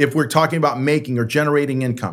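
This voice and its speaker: A man with an American accent talks at a fairly quick pace in a normal speaking voice, his pitch fairly high. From San Francisco, California. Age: 60s. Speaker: pastor and author. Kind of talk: interview conversation.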